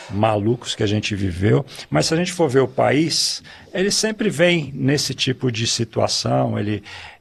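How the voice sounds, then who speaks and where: The speech moves at a fairly slow pace with very wide pitch swings, against noticeable background noise. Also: man. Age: 60s. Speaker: swim school owner. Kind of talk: podcast discussion.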